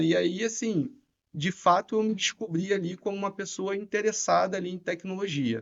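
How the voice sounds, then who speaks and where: In a Rio de Janeiro accent, a man speaks at a moderate pace in a high pitch with ordinary pitch variation. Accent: Rio de Janeiro (carioca). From Rio de Janeiro, Niterói. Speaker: tech executive. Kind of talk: podcast interview. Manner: casual, filler-heavy.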